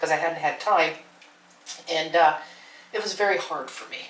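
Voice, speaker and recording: The speech has fairly even intonation, with noticeable background noise and audible room echo. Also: woman. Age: 60s. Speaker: homesteading vlogger. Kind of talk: casual vlog talk to camera. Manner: halting, with many fillers.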